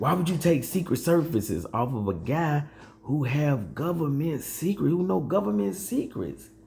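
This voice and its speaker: Somewhat breathy, a man speaks at a moderate pace in a fairly high pitch with very wide pitch swings. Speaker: political commentary youtuber. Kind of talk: casual vlog commentary. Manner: halting, many fillers.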